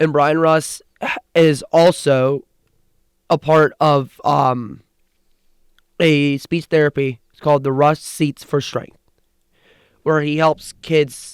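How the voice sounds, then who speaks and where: A man with an American accent speaks very slowly at a fairly high pitch. His intonation is monotone and flat, and the sound is dry and close with no echo. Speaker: sports podcast co-host. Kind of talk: casual chat.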